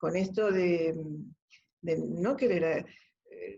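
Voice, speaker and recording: A woman speaks at a very slow pace. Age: 70s. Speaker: COVID-19 survivor. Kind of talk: interview answer.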